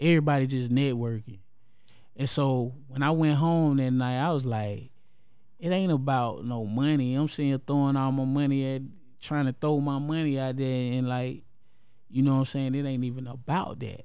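A man speaks at a moderate pace in a medium pitch with a dark, mellow tone. His intonation is fairly even, and the room echo is audible. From Columbus, Georgia. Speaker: rapper. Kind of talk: casual chat.

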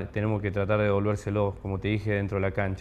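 This man speaks with a fairly low pitch. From Argentina, southern Córdoba province (small town). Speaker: professional footballer. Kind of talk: interview. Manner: halting, many repetitions.

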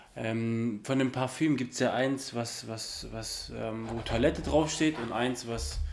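A man at a medium pitch, speaking at a fairly slow pace with ordinary pitch variation over noticeable background noise. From southern Germany (Ulm, Swabia). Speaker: podcast co-host. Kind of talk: casual chat.

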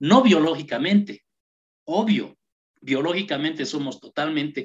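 An ordinary speaking voice from a man, fairly high in pitch, at a fairly slow pace. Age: 50s. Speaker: human rights activist. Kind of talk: radio interview.

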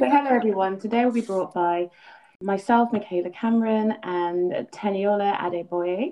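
Speaking at a moderate pace, a woman has a normal speaking voice in a medium pitch with ordinary pitch variation. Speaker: podcast host. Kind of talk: interview.

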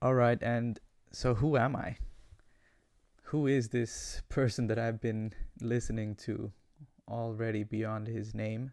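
Speaking at a very slow pace with long, frequent pauses, a man at medium pitch keeps a monotone, flat intonation on a very clean recording with a silent background. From Ecuador; Guayaquil, Ecuador. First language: Spanish. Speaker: podcast host. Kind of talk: solo monologue about podcast intentions.

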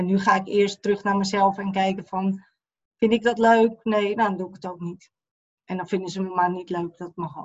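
A woman speaks at a moderate pace and medium pitch, her voice somewhat breathy. Her intonation is monotone and flat, yet her loudness swings widely. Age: 50s. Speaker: eating disorder therapist. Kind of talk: personal testimony interview.

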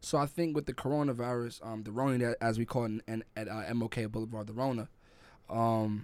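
With a New York accent, a man speaks at a medium pitch and fairly quick pace with fairly even intonation. The recording is very clean, with a silent background. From New York City (Brooklyn, Crown Heights), Jamaican family. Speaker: podcast co-host. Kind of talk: casual chat.

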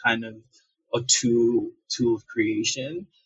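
A man with a medium-pitched, somewhat breathy voice keeps his intonation fairly even. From Nigeria (Benin Kingdom region). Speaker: multimedia artist and entrepreneur. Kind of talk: interview. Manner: halting, many fillers and repetitions.

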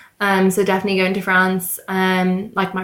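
A woman with an Irish accent at a fairly slow pace, in a very clean recording with a silent background. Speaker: recent school leaver. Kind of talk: casual chat.

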